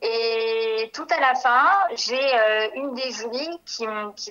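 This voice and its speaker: Ordinary pitch variation in a woman's voice with a bright, sharp tone. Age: 30s. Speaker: beautician and former adult-education student. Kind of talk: testimony. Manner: hesitant, many fillers.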